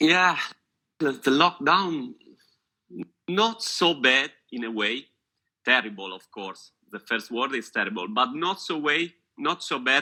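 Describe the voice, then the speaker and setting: A fairly slow delivery in an Italian accent, with long, frequent pauses, very wide pitch swings and big swings in loudness. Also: man, fairly high pitch for a man. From Italy. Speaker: photographer and photography teacher. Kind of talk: casual chat. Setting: video call. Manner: halting.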